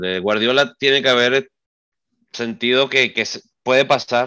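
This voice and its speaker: A bright, sharp tone at a moderate pace, with ordinary pitch variation and a quiet background. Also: man. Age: 30s. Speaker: football podcast co-host. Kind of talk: casual chat.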